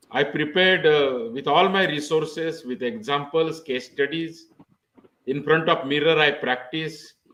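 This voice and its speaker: Speaking in a Marathi accent, a man with a fairly high pitch talks at a fairly slow pace. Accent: Indian English, Marathi. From India, Maharashtra. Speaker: pharmacy professor. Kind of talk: interview.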